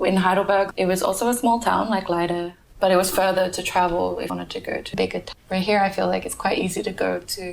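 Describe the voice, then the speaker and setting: A woman speaks fairly quickly with an Australian accent and a medium pitch. Noticeable background noise runs underneath. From Australia, Perth. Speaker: podcast guest, migrant. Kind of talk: interview, casual chat.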